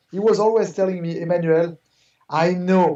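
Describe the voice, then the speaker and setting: The speaker, in a French accent, keeps a moderate pace. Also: man. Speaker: art gallery owner. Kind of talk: interview. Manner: halting, many fillers.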